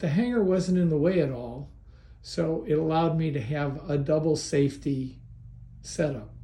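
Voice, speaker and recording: Speaking at a moderate pace in a room with audible echo, a man uses a fairly high pitch, ordinary pitch variation and a dark, mellow tone that is somewhat breathy. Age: 70s. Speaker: hobbyist video maker. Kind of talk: tutorial. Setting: garage.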